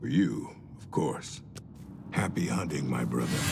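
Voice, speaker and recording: A put-on character voice from a man, very deep and low, at a moderate pace amid clear background noise. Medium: video game. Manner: crude, blunt.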